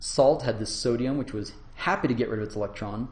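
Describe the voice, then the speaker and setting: A dark, mellow voice with vocal fry at a very fast pace, in audible room echo. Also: man. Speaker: university lecturer. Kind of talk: lecture.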